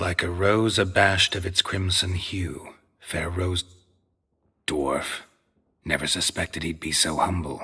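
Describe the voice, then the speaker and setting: A man uses a put-on character voice with a very deep, low pitch, speaking at a fairly slow pace with long, frequent pauses. The recording is very clean, with a silent background. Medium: video game. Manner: terse, deadpan.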